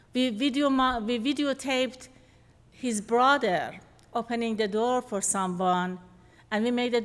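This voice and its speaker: On a very clean recording with a silent background, the speaker has a non-native accent, ordinary pitch variation and a fairly slow pace. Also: woman. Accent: foreign accent, noticeable. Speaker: behavior analyst presenter. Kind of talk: lecture. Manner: halting, self-correcting.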